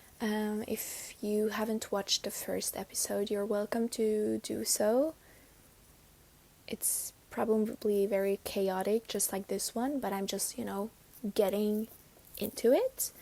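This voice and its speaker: A woman speaks very slowly at a fairly high pitch. Her tone is dark and mellow. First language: not English. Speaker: spiritual podcast host. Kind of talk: casual chat. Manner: hesitant, with fillers.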